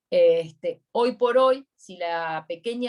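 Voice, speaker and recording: A woman talks with a Uruguayan accent. Her intonation is lively. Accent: Uruguayan Spanish (rioplatense). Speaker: accountant giving a workshop. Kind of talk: online workshop Q&A.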